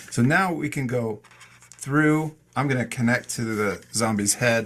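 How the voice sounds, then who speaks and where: In a normal speaking voice, a man talks at a fairly slow pace with a medium pitch and ordinary pitch variation. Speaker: art teacher. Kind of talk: tutorial. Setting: video call. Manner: calm and encouraging.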